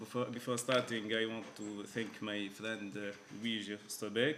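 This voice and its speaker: The speech moves at a moderate pace with monotone, flat intonation. Room echo is audible. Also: man. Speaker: professor. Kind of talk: conference keynote lecture. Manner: halting, many fillers.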